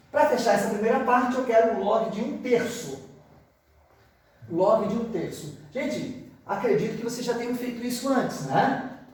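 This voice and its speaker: A man with an extremely high pitch and ordinary pitch variation speaks at a moderate pace amid noticeable background noise and audible room echo. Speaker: math teacher. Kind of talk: lecture.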